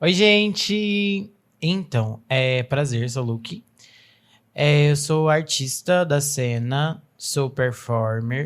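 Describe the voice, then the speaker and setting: A woman talks at a very slow pace with a very deep, low pitch and lively intonation. The recording is very clean, with a silent background. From Brazil, Uberlândia, Minas Gerais. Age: 20s. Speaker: performer. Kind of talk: interview.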